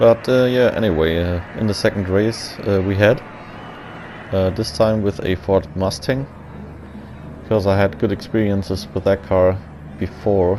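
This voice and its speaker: A man mumbles in a German accent, his pitch fairly low with ordinary variation. He talks at a moderate pace with long, frequent pauses over noticeable background noise. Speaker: gaming commentator. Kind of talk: gameplay commentary. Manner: mumbling.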